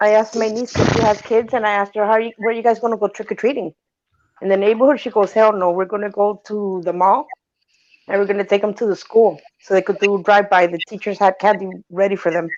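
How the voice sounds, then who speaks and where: At a very fast pace, a woman talks with a medium pitch. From Honduras. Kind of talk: casual chat.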